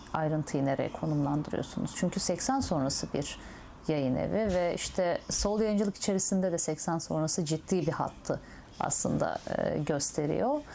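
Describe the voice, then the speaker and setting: A woman with an unremarkable speaking voice talks at a fairly low pitch and lively intonation. Her pace is fairly slow. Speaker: interviewer. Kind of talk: oral history interview.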